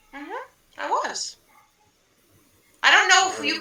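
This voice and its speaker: A squeaky, put-on character voice. It moves at a moderate pace. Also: woman, extremely high pitch for a woman. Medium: actual play. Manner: folksy, rambling.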